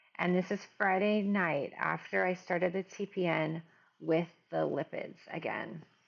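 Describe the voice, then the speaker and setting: Speaking with a Midwestern accent at a fairly slow pace, a woman keeps a fairly low pitch and monotone, flat intonation. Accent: Midwest US. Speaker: mother of medically complex child, nurse. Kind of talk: video diary. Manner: casual, conversational.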